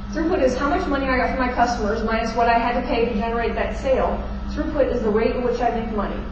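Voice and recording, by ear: A woman's fairly high voice with lively intonation, over clear background noise and audible room echo.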